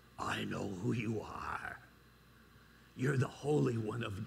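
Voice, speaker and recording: A man puts on a raspy character voice at medium pitch. He speaks at a fairly slow pace. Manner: menacing.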